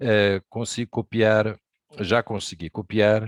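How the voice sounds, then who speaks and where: In a very clean recording with a silent background and a dry, close sound with no echo, a man speaks with a fairly low pitch and a monotone, flat intonation. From Brazil. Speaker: amateur radio operator, presenter. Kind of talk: presentation talk.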